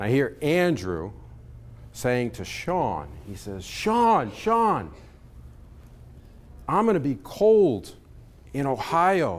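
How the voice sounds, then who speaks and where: A man with a slight New York accent talks at a very slow pace and medium pitch, leaving long, frequent pauses amid very wide pitch swings. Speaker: conference speaker. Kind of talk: keynote talk. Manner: animated.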